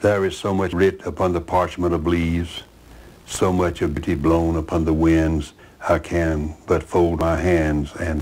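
In a Southern US accent, a man talks at a fairly slow pace with a very deep, low pitch and monotone, flat intonation. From US South, Alabama (Chambers County); Alabama. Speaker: author; interviewee. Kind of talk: interview; poetry reading.

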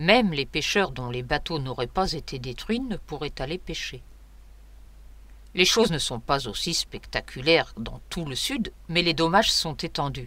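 Fairly high in pitch, a man speaks with a bright, sharp tone. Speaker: French teacher. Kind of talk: news read.

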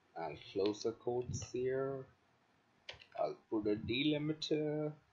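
Very slowly the words come, with background noise clearly present. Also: man, medium pitch for a man, ordinary pitch variation. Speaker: hacking tutorial creator. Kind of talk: tutorial. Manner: casual, hesitant with fillers.

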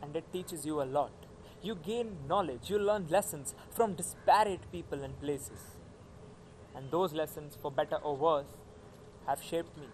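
Speech moves at a moderate pace, broken by long and frequent pauses. Loudness swings widely, pitch varies in an ordinary way, and light background noise sits underneath. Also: man. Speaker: actor performing a monologue. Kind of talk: acted monologue, college admission speech. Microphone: phone near.

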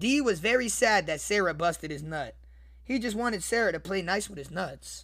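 The voice has an animated tone that is bright and sharp. Its intonation is lively. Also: man. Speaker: online video creator reading a story. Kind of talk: comedic mock bedtime story read aloud with crude running commentary to viewers. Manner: animated, excitable, repetitive ('see, guys?'), cracking up and riffing mid-reading; crude, joking, addressing the chat. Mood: joking, amused. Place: home room. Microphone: studio mic.

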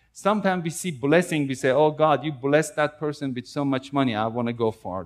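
The pace is fairly quick. The intonation is lively. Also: man. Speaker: preacher. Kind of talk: sermon. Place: church.

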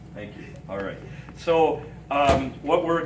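A man speaks with music in the background. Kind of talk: informal group address, then prayer. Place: hall. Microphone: camera far.

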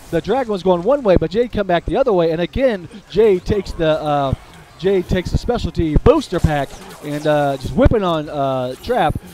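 A man with a high-pitched, upbeat voice talks at a moderate pace over noticeable background noise. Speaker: gaming video commentator. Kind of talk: live play-by-play game commentary. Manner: animated, excitable, chatty with filler words; upbeat, addresses audience directly.

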